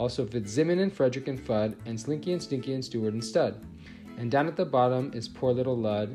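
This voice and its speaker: A man talks at a fairly quick pace and a medium pitch. Music plays in the background. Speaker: teacher. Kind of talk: children's book read-aloud.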